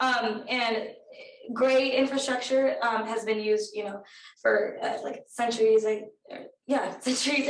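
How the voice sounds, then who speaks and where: A woman speaks in a high voice at a fairly slow pace. Her intonation is fairly even, and there is audible room echo. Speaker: undergraduate research intern. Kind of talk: research presentation. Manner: hesitant, many fillers.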